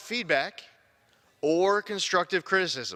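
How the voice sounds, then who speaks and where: With an American accent, a man speaks at a fairly quick pace in a bright, sharp tone with ordinary pitch variation. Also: dry, close sound with no echo. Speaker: congressman. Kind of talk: congressional floor speech. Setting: legislative chamber floor.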